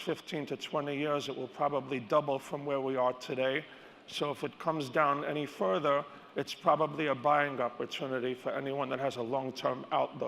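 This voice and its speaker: With an American accent, a man speaks at a moderate pace with fairly high pitch and fairly even intonation. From New York. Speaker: stock and crypto analyst. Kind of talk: conference keynote. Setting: stage with audience.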